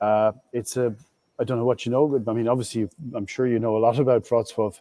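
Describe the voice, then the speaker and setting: A man with an Irish accent speaks very fast in a dark, mellow, medium-pitched voice. His delivery is a flat monotone, recorded dry and close with no echo. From Ireland. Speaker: business panelist. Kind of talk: panel discussion. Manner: halting.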